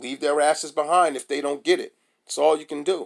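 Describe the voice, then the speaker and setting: At a moderate pace, a man speaks in a fairly high voice. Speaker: crypto YouTuber. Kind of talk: casual vlog commentary. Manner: animated.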